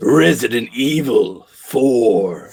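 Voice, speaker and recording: A man puts on a character voice at a medium pitch. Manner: serious, dramatic.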